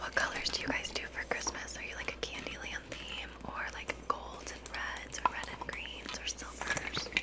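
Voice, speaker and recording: A whispered voice at a moderate pace, with hardly any pauses. Noticeable background noise runs underneath. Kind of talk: ASMR haul video, casual talk to camera. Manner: whispered, soft-spoken.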